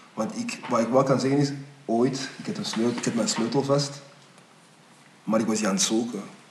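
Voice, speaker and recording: The speaker talks at a fairly quick pace with ordinary pitch variation and long, frequent pauses, over noticeable background noise and audible room echo. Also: man, medium pitch for a man. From Belgium. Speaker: podcast host. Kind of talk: casual interview. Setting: studio.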